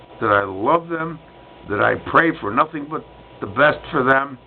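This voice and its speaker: Amid noticeable background noise, a man with an American accent talks fairly slowly with very wide pitch swings. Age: 60s. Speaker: vlogger, retired Vietnam veteran. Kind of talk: personal vlog monologue. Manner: outspoken, loud.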